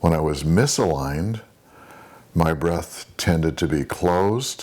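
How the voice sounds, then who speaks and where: A man with a very deep, low pitch and vocal fry speaks at a very slow pace, yet his intonation stays lively. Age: 60s. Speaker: spiritual practitioner. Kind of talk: interview monologue.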